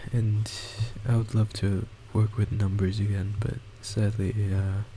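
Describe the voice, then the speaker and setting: A man's somewhat breathy, fairly low voice, flat and monotone, at a fairly slow pace with very even loudness. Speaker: gaming YouTuber. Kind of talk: gameplay commentary. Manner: halting.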